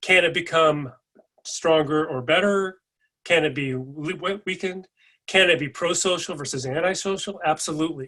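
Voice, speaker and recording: With a Californian accent, the voice has a bright, sharp tone and ordinary pitch variation. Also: man. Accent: General American (Californian). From California, US. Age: 60s. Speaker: educator / presenter. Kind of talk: lecture. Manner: conversational.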